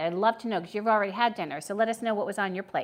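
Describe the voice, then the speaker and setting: The voice has an American accent. It belongs to a woman. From New Jersey, then Ohio from seventh grade. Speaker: food reviewer and livestream host. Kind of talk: casual livestream chat. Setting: livestream from home dining room. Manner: casual, halting with fillers.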